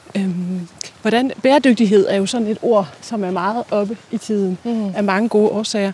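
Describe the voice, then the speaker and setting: Fairly even intonation from a woman, with noticeable background noise. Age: 30s. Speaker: journalist interviewing the host. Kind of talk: interview. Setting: outdoors, walking.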